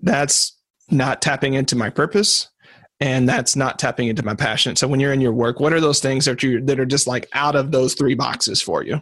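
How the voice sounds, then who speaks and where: A plain, everyday voice at a fairly quick pace, with very even loudness and ordinary pitch variation. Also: man, fairly high pitch for a man. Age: 30s. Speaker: podcast host. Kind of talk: interview conversation. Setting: recorded call.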